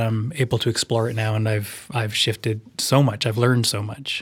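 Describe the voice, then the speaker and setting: A man's somewhat breathy, medium-pitched voice keeps its intonation fairly even. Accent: Canadian. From Canada, Vancouver suburb. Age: 40s. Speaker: documentary filmmaker. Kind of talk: interview. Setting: studio. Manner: halting.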